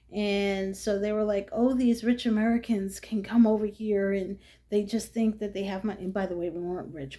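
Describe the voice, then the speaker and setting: Somewhat breathy, a woman with a New York accent speaks at a medium pitch in a dark, mellow tone. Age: 50s. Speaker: vlogger. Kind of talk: casual monologue. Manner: animated, chatty with many fillers.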